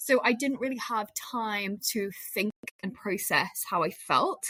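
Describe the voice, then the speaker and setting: A Lancashire accent at a moderate pace, with ordinary pitch variation. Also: woman. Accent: northern English (Lancashire). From northern England, Lancashire. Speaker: media professional. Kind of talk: casual chat.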